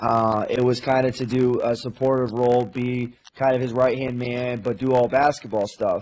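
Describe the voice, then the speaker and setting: The speech moves at a moderate pace with hardly any pauses. The intonation stays monotone and flat. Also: man, medium pitch for a man. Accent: American. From US Midwest. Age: 20s. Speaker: college basketball assistant coach. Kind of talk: casual chat.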